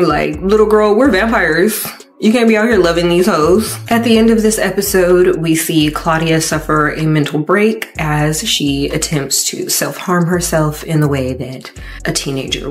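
With faint music in the background, a woman speaks at a moderate pace in a fairly low pitch. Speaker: TV show recap host. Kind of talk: commentary. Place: home room. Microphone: studio mic.

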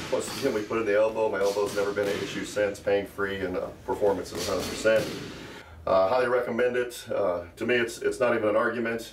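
Over noticeable background noise, a man speaks very fast in a monotone, flat delivery. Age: 60s. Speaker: self-defense and fitness instructor. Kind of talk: patient testimonial. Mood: upbeat, convinced. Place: gym. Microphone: phone near.

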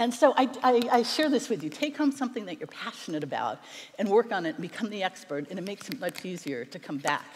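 Talking at a very fast pace, a woman lets her pitch swing very widely. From United States. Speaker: internet attorney and documentary producer. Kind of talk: keynote speech. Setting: stage with audience. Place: stage. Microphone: headset.

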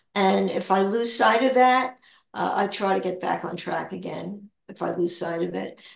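A woman talks fairly slowly, and room echo can be heard. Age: 80s+. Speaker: spiritual discussion leader; guest. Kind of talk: casual spiritual chat. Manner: halting. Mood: calm, reflective. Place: home room. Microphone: video call.

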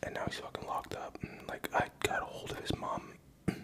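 At a moderate pace, a man speaks in a whisper. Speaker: ASMR creator. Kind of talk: casual talk to camera. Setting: home video, drinking Hennessy. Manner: soft-spoken, rambling. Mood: reflective, personal story. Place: home room. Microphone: studio mic.

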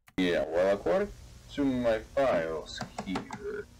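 Using a put-on character voice, a man speaks slowly at a fairly low pitch with big pitch swings. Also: slightly mellow tone.

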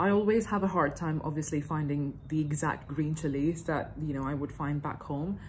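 At a moderate pace, a woman with a very deep, low pitch talks in a somewhat breathy voice with fairly even intonation over light background noise. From India. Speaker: YouTuber reacting to cooking videos. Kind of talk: reaction video commentary. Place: home room. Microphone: phone near.

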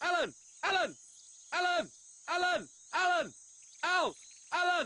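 Shouting loudly in a put-on character voice, the speaker hits an extremely high pitch at a moderate pace. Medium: comedy sketch. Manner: loud, repetitive shouting.

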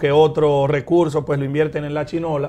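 A man's fairly high-pitched voice moves at a moderate pace. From Dominican Republic. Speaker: mayor and politician; mayor, politician. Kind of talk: interview. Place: studio. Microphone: lapel.

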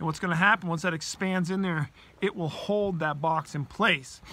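Pitched high, a man speaks with ordinary pitch variation. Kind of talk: tutorial. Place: open country. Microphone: phone near.

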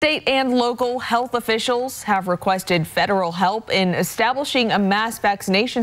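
Speaking at a moderate pace with hardly any pauses, a woman keeps her loudness very even. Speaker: news anchor. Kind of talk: news reading, scripted studio-style anchor intro. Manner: formal, measured. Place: studio. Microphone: lapel.

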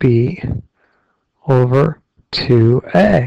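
A man speaks at a medium pitch with a dark, mellow tone and a somewhat breathy quality. The sound is dry and close, with no echo. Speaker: algebra teacher. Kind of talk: math tutorial. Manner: frustrated.

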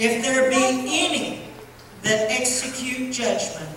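Speaking very slowly, a woman with a high voice is heard in a strongly echoing room with light background noise. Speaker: preacher. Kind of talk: sermon. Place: church.

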